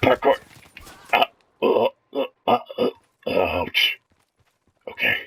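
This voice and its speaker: The man speaks in a put-on character voice. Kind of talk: comedic gameplay commentary in character. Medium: role play.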